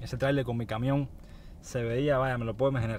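A man talking at a very fast clip, dry sound with no echo, light noise in the background. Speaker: truck driver vlogger. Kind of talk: casual vlog chat. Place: car. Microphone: phone near.

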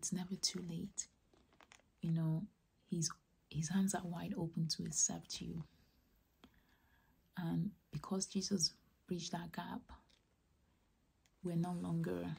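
A soft-spoken woman whispers at a very slow pace with vocal fry, leaving long, frequent pauses. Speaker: ASMR creator. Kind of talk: whispered personal testimony about faith. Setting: close-mic, ASMR style. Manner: whispered, soft, slow. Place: home room.

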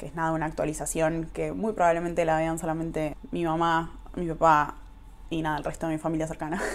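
A woman with an Argentine accent talks at a fairly quick pace. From Argentina. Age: 20s. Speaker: YouTuber. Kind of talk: vlog monologue. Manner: casual, with laughs. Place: kitchen. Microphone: phone near.

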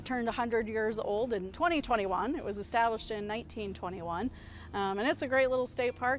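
Speaking at a very fast pace with ordinary pitch variation, a woman is recorded dry with no echo while faint music plays in the background. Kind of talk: interview answer. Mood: upbeat, promotional. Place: street. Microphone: lapel.

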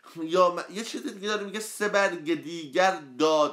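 A man talks at a fairly slow pace. Behind him the background is quiet. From Iran, Karaj; Iran. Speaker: poet and book reviewer; poet, book reviewer. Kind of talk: book review livestream. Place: home room. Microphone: phone near.

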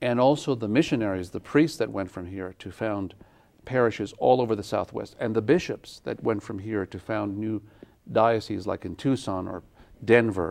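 A man with a fairly low pitch shows ordinary pitch variation and big swings in loudness. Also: moderate pace. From Santa Fe, New Mexico, USA. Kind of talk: interview answer. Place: studio. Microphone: lapel.

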